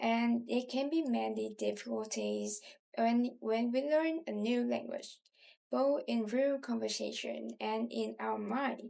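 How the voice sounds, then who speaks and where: A woman with a Southern Vietnamese accent speaks at a very slow pace, her loudness very even. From southern Vietnam, Ho Chi Minh City. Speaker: language tutor. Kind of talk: self-introduction.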